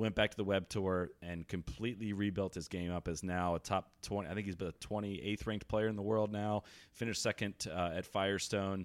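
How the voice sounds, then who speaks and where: In a very clean recording with a silent background, a man with an unremarkable speaking voice talks with fairly even intonation and hardly any pauses. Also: fairly low pitch for a man. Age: 30s. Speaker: golf podcaster. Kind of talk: casual chat.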